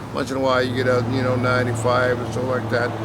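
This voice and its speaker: A man with an American accent speaks in a flat monotone at a medium pitch. Noticeable background noise and audible room echo surround him. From Texas, rural area south of Dallas. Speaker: winemaker. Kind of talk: interview. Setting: wine shop. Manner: hesitant, many fillers.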